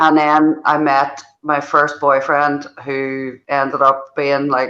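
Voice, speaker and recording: Very slowly and in a monotone, flat intonation, a woman with a Northern Irish accent speaks at a very deep, low pitch with a bright, sharp tone. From Northern Ireland. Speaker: football podcast panelist. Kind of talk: casual chat.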